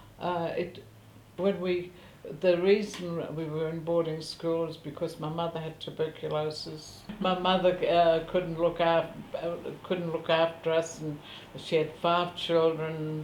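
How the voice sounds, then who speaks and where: With a German accent and a fairly low pitch, a woman speaks at a fairly slow pace in a monotone, flat intonation, with audible room echo and noticeable background noise. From Central Europe, ethnic German. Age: 70s. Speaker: war refugee interviewee. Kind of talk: interview testimony. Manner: halting, many fillers.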